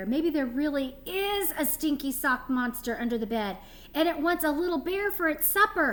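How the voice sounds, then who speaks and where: Pitched high, a woman performs in a put-on character voice. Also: moderate pace. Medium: read story.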